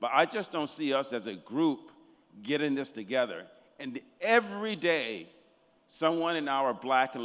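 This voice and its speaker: With an American accent, a man talks at a moderate pace using lively intonation. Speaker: audience member asking question. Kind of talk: audience question. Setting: conference with audience.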